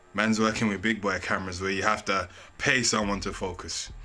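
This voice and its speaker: Speaking at a fairly quick pace, this voice has a bright, sharp tone and a London accent. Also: man. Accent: London Multicultural English. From England. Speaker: YouTuber. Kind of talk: casual vlog talk. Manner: casual slangy.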